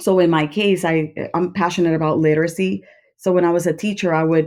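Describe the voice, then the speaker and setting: A woman with a Spanish accent speaks in a dark, mellow tone with fairly even intonation. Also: quiet background. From Puerto Rico. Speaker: school administrator, former principal. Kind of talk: podcast interview. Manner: hesitant, with fillers.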